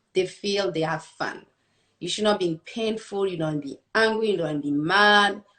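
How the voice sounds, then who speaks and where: A woman with a French accent talks at a moderate pace, using ordinary pitch variation. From France. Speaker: kickboxing and fitness coach. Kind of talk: interview.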